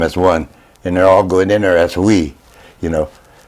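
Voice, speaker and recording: Over noticeable background noise, a man with a very deep, low pitch speaks at a fairly quick pace with fairly even intonation. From South Dakota, Pine Ridge reservation. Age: 80s+. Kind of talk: casual interview.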